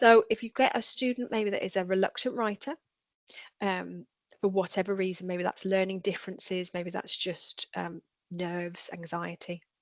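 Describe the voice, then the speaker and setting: A woman with a Birmingham accent at medium pitch and moderate pace, her intonation fairly even and the sound dry and close with no echo. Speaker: edtech trainer, former teacher. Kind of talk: webinar tutorial. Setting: online webinar.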